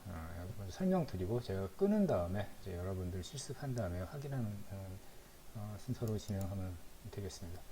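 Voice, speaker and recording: There is audible room echo and noticeable background noise around a man speaking in a fairly low voice. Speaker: instructor. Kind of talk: lecture. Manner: halting.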